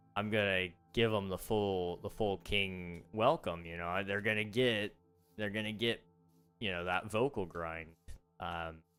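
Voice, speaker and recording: A man's fairly low voice at a fairly slow pace, with fairly even intonation and music in the background. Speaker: gaming streamer. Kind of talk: casual chat. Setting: livestream. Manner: subdued, little emotional range.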